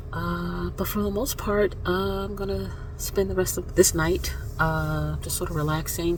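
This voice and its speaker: A soft-spoken woman talks over noticeable background noise, with audible room echo. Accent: American. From Florida. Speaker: vlogger. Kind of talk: casual vlog.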